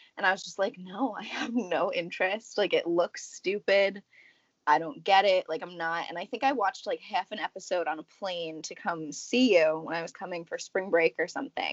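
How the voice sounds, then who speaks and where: A woman speaks in an unremarkable speaking voice at a medium pitch and moderate pace. Her pitch varies in an ordinary way, while her loudness swings widely. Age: 20s. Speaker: podcast co-host. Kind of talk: casual chat.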